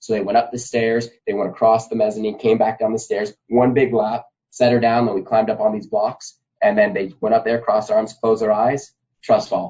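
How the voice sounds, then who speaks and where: A man with an American accent, fairly quick and monotone, with flat intonation. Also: medium pitch for a man. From Nevada, US. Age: 30s. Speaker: gymnastics coach. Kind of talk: podcast interview.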